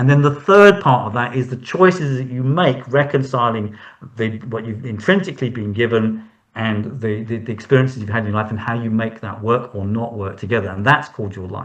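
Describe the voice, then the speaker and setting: An ordinary speaking voice at a fairly quick pace, with ordinary pitch variation and big swings in loudness. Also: man. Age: 60s. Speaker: hand reader. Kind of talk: interview.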